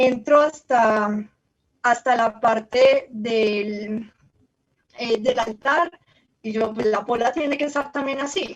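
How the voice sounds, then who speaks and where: The delivery runs at a very slow pace with long, frequent pauses and ordinary pitch variation. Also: woman, high pitch for a woman. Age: 20s. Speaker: university student. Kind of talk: presentation.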